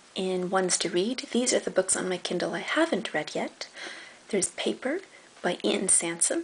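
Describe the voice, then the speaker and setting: A woman at a moderate pace, her pitch swinging very widely, amid noticeable background noise. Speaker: book reviewer. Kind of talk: casual talk to camera.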